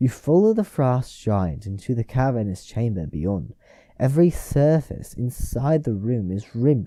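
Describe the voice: The reading aloud is plain, and its intonation rises and falls in a lively way.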